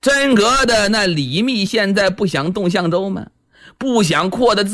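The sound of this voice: The speaker uses an unforced reading voice. It is an unforced reading voice throughout.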